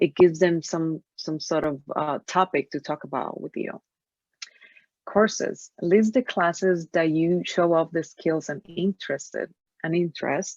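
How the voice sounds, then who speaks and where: The speaker has a Spanish accent. The sound is dry and close, with no echo. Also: woman. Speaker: career coach. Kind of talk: webinar presentation. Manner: halting.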